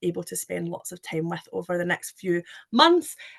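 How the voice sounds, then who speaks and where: A woman with a Scottish accent, in a dry, close sound with no echo. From Scotland. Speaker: recruitment manager. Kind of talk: webinar presentation. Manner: hesitant, many fillers.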